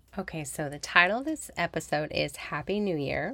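The recording is very clean, with a silent background. A woman with an unremarkable speaking voice talks at a fairly low pitch and a moderate pace. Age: 40s. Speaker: podcast host and speech therapist. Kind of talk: podcast monologue. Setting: recording in a closet. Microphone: new computer recording.

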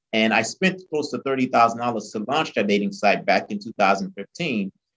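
A man with an American accent speaks in an unremarkable speaking voice at a medium pitch with lively intonation, recorded dry and close with no echo. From Haiti, then South Florida from age eight. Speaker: entrepreneur and marketing consultant. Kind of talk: podcast interview.

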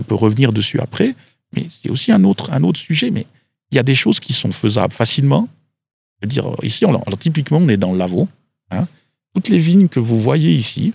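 A man at a medium pitch talks at a fairly quick pace with vocal fry and very wide pitch swings, leaving long, frequent pauses in a dry, close recording with no echo. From Switzerland, Valais. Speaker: agricultural expert. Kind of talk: interview. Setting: outdoors.

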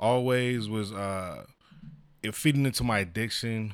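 In an ordinary speaking voice, a man with an American accent talks at a fairly slow pace, his fairly low pitch showing ordinary variation. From San Diego, California. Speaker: church minister. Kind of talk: casual chat.

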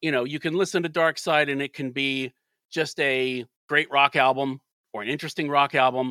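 A man with a fairly high pitch and a bright, sharp tone talks at a fairly quick pace with fairly even intonation, in a very clean recording with a silent background and a dry, close sound with no echo. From US South, Alabama. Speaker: music journalist and radio DJ. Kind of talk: casual interview chat.

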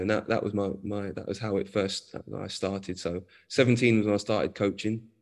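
A man with a London accent talks at a fairly quick pace in a flat monotone, his pitch fairly low, against a quiet background. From North London. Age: 40s. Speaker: football coach. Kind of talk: interview.

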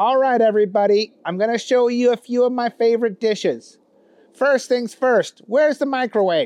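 A put-on character voice sits at a fairly high pitch and moves at a moderate pace. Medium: read story. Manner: folksy, clueless, cheerful.

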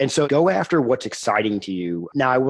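The speaker is a man. He talks fairly quickly. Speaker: podcast guest, startup founder. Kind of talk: casual, conversational. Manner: fast talker.

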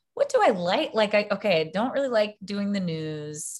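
With an American accent, a woman talks in an ordinary speaking voice at a moderate pace, her intonation lively. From US South, Baton Rouge, Louisiana. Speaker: actress and filmmaker. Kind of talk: interview.

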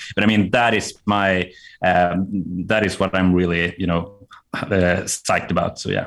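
A man with a very deep, low pitch and a Swedish accent, at a fairly slow pace with monotone, flat intonation. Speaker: CTO of a marketing agency. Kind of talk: casual interview. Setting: remote call.

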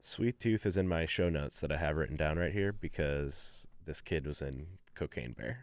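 A man's very deep, low voice carries vocal fry. His intonation is lively and his pace moderate. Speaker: podcast co-host. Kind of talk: casual chat. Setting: studio.

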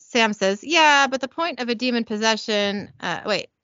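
The voice is natural. It belongs to someone reading aloud.

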